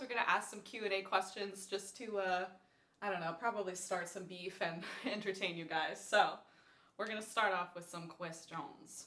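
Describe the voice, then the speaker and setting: This woman speaks in a Californian accent. Her pace is fairly quick. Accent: California. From California, Thousand Oaks. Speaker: podcast host, classical singer. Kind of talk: casual chat.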